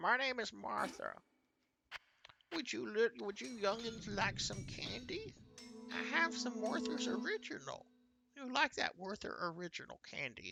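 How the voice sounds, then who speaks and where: A man performs a put-on character voice at an extremely high pitch. He keeps a moderate pace with long, frequent pauses over music in the background. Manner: sweetly offering candy.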